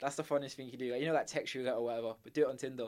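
In an English accent, a man speaks at a medium pitch with monotone, flat intonation. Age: 20s. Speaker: university student. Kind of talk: casual chat.

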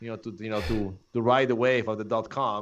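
Over a quiet background, a man with a strong Polish accent talks at a fairly quick pace. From Poland. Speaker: photographer. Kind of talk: casual interview.

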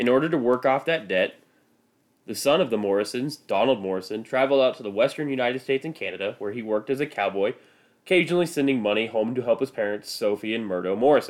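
Speaking at a very fast pace in a Midwestern American accent, a man keeps a medium pitch with ordinary variation, in a very clean recording with a silent background. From US Midwest. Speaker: podcast host. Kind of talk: scripted narration.

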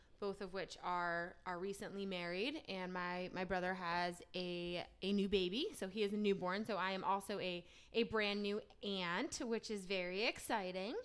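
A woman's plain, everyday voice with an American accent, medium pitch, moderate pace and fairly even intonation. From New Jersey. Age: 30s. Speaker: podcast co-host, sports PR professional. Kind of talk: casual chat.

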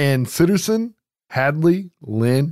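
A man talks with a fairly high pitch. His pitch swings very widely. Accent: Southern US. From US South. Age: 30s. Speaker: horror film podcast host. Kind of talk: casual chat.

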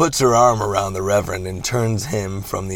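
The voice is natural. It is reading aloud.

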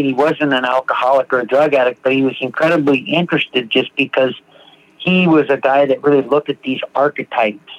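A man with an American accent and an ordinary speaking voice, fairly high in pitch, fairly even in intonation, at a moderate pace. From US Pacific Northwest, Seattle. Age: 50s. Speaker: recovering alcoholic sharing his story. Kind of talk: testimony.

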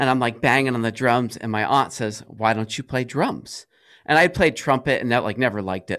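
A man's unremarkable speaking voice, medium in pitch with ordinary pitch variation, at a moderate pace with an American accent, on a very clean recording with a silent background. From US Northeast, Rhode Island. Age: 40s. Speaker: music school owner. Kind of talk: podcast interview. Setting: studio. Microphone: studio dynamic mic, good quality.

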